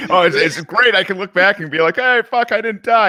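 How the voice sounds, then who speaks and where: A man with a high pitch and a bright, sharp tone projects a raised voice at a fairly quick pace, the sound dry and close with no echo. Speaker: podcaster, military veteran. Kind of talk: casual chat.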